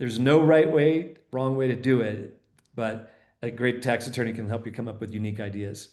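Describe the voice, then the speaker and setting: At a fairly quick pace, a man speaks in an unremarkable speaking voice at a medium pitch with ordinary pitch variation. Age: 60s. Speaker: financial speaker. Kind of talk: interview.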